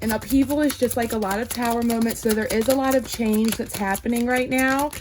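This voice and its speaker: This woman talks at a moderate pace in a fairly high pitch. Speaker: tarot card reader. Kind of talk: tarot reading. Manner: animated.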